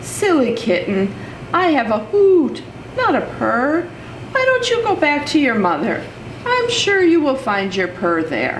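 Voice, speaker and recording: Putting on a character voice, a woman speaks high and at a fairly slow pace amid clear background noise. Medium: read story.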